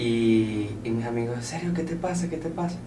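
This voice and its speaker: A man speaks at a medium pitch. The room echo is audible. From Venezuela, Caracas. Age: 20s. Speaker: entrepreneur and student. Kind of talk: interview. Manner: cheerful.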